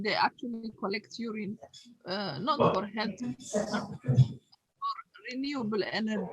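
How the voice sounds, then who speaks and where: Woman's fairly high, somewhat breathy voice at a fairly slow pace, with ordinary pitch variation and a dry, close sound with no echo. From Eritrea/Ethiopia. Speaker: audience member. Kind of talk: Q&A question. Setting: video call.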